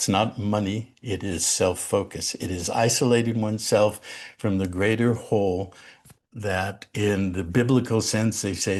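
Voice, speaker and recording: Over a quiet background, a man speaks at a fairly slow pace in a fairly low pitch with monotone, flat intonation. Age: 70s. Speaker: spiritual teacher. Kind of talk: interview monologue. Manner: frequent fillers and hesitations.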